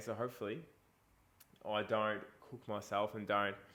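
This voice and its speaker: A man speaks with an Australian accent. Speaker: fitness coach. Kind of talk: casual vlog talk. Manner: casual, chatty.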